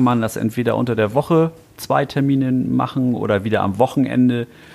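A man at a fairly quick pace with fairly even intonation amid noticeable background noise. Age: 60s. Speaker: knife maker. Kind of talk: casual chat. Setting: workshop. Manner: halting.

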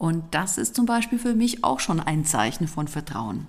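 With vocal fry and very wide pitch swings, a woman speaks at a fairly slow pace. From Switzerland. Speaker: organizational consultant and trainer. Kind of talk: casual chat.

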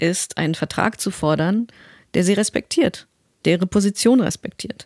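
At a moderate pace, a woman with an unremarkable speaking voice shows ordinary pitch variation, on a very clean recording with a silent background and a dry, close sound with no echo. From Westphalia, Germany. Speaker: voice actor. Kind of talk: interview.

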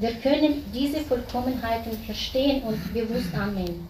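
Noticeable background noise fills the recording. Over it, a woman talks at a fairly slow pace. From Kazakhstan. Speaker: audience member, former doctor. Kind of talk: personal testimony.

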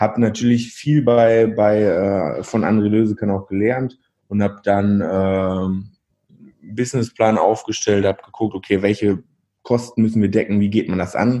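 Against a quiet background, a man speaks slowly-ish at a fairly slow pace, his dark, mellow tone set at a fairly low pitch with fairly even intonation. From Germany, East Westphalia (Verl/Kaunitz). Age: 20s. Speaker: entrepreneur, restaurant owner. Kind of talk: casual interview. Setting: remote recording.

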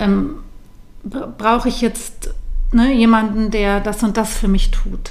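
There is audible room echo as a woman speaks at a very slow pace, with long, frequent pauses. Her pitch is fairly high and her intonation fairly even. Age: 40s. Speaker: yoga teacher and postpartum doula. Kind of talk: interview.

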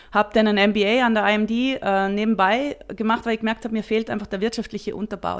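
At a fairly quick pace, a woman speaks with a fairly high pitch and fairly even intonation. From Austria and South Africa. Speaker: startup founder and CEO. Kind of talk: interview. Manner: halting, many fillers and restarts.

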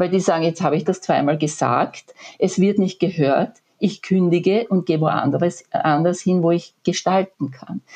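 Speaking at a fairly slow pace, a woman with a fairly low, dark and mellow voice uses ordinary pitch variation. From Austria, rural area near Graz (Styria). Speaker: management consultant and author. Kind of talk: interview.

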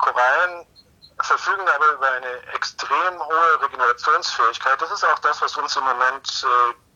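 The man talks at a fairly slow pace. His pitch has ordinary variation. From Munich, Bavaria. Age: 40s. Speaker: marine biologist, professor. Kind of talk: interview. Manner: halting, many repetitions.

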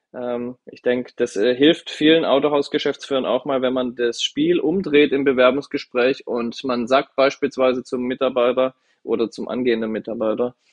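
A man speaks in an ordinary speaking voice at medium pitch. His pace is moderate and his intonation fairly even. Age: 30s. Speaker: car dealership managing director. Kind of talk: podcast interview.

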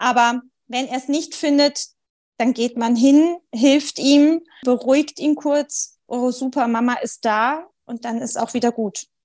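A woman at a high pitch, very slow pace and fairly even intonation. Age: 30s. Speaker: mother, sleep coaching client. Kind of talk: casual interview chat.

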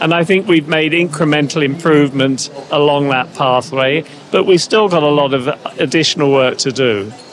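With music in the background, a man talks at a moderate pace in a fairly high voice, with ordinary pitch variation and very even loudness. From Canada. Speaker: head of a national health IT organization. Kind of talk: interview. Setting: on site at a congress in Berlin. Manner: hesitant, with many fillers.

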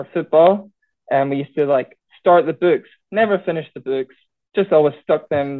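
A man speaks at a moderate pace with a Scottish Highland accent. His pitch sits fairly high, with ordinary pitch variation. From Scottish Highlands. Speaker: schoolteacher and card show organiser. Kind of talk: casual chat.

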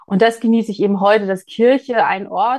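Over a quiet background, a woman with an ordinary speaking voice talks at a moderate pace with ordinary pitch variation. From Mecklenburg, eastern Germany. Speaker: church culture and communications officer. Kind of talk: interview.

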